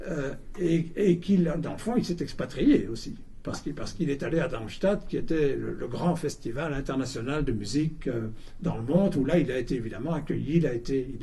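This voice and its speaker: With audible room echo, a man talks at a moderate pace in a dark, mellow tone, his fairly high pitch touched by vocal fry. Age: 70s. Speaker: lecturer, writer. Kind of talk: public talk and interview. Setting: bookshop event with audience. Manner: halting, many repetitions.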